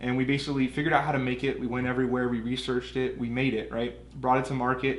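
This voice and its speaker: Someone with a Californian accent talks at a very fast pace in a monotone, flat intonation, with audible room echo and noticeable background noise. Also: man, medium pitch for a man. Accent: Californian American English. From US West Coast, Southern California. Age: 20s. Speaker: business owner. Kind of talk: casual interview.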